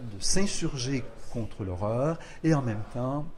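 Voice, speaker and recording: His voice is a man's medium pitch with a dark, mellow tone and ordinary pitch variation. It also sounds somewhat breathy. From Quebec, Lower St. Lawrence (Rivière-du-Loup). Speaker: poet and literature professor. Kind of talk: interview. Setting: poetry festival. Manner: measured, hesitant with frequent euh.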